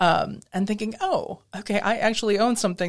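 A woman speaks with an American accent at a moderate pace. She has a normal speaking voice with ordinary pitch variation. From US Midwest. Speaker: interior designer and historic preservation expert. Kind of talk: interview conversation. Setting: studio.

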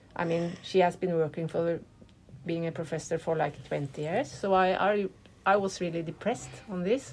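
Her pitch is fairly low, and this woman speaks with a Norwegian accent. She keeps a moderate pace with ordinary pitch variation. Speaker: artist and activist. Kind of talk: interview. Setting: hotel room. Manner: halting.

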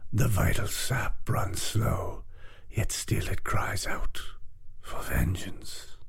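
A man whispers in a creaky, put-on character voice at a very slow pace. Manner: grandiose, archaic.

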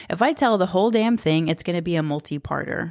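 This woman has an unremarkable speaking voice, fairly low in pitch, with lively intonation. The recording is very clean, with a silent background. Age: 30s. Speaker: podcast host and storyteller. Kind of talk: personal storytelling monologue. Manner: casual, conversational.

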